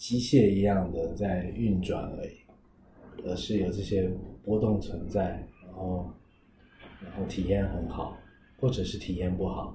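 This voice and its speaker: A man with a Taiwanese accent speaks at a fairly slow pace, with long, frequent pauses. His pitch is fairly low, his intonation fairly even, and his loudness swings a lot. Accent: Taiwanese-accented Mandarin. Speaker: podcast host and counselor. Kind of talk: casual interview chat.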